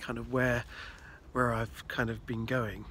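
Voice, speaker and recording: A man mumbles his words. His pace is moderate. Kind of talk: casual talk to camera. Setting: outdoors. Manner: mumbling, hesitant.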